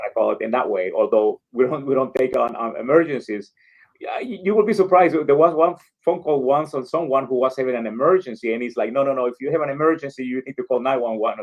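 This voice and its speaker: Very fast talking from a man, fairly high in pitch, with ordinary rise and fall. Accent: Spanish. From El Salvador. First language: Spanish. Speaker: community organization leader. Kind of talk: interview. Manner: halting, many fillers.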